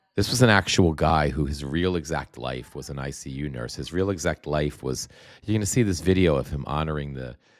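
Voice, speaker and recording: A man talks fairly quickly at a very deep, low pitch. His loudness swings widely while his pitch varies in an ordinary way. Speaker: political commentary livestreamer. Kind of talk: live stream commentary reading viewer comments. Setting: livestream from home. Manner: halting, many repetitions; soft-spoken, talking quietly.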